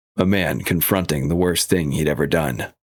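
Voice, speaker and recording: Vocal fry runs through this man's very deep, low voice. He talks at a moderate pace with ordinary pitch variation. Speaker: audiobook narrator / voice actor. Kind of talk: audiobook narration of a literary thriller.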